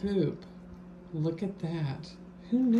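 A woman at a fairly slow pace, over light background noise. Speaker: family member filming a taste test. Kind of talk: casual narration to camera. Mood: playful, amused. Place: home room. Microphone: phone near.

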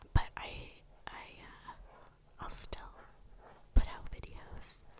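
The speaker is a woman who whispers. Every word comes at a very slow pace. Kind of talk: casual ramble to camera. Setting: ASMR recording with tapping sounds in background. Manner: whispered, quiet, soft-spoken.

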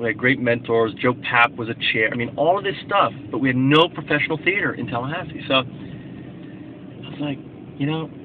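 With light background noise behind him, a man talks at a moderate pace with ordinary pitch variation. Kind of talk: casual vlog chat. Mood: reflective, enthusiastic. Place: car. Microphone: phone near.

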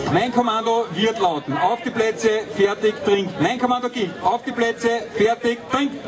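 A man talks with ordinary pitch variation. Noticeable background noise can be heard. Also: moderate pace. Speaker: event announcer. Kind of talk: event announcing. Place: open country. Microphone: pa.

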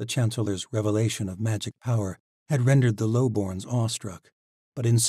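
Reading aloud in a natural voice over a quiet background.

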